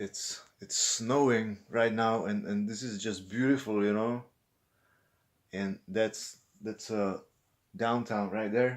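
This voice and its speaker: With a Czech accent, a man at medium pitch talks at a very slow pace with long, frequent pauses and fairly even intonation. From Czech Republic. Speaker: vlogger. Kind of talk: unscripted vlog monologue. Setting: indoors at an apartment window, filming. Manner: halting, many fillers and repetitions.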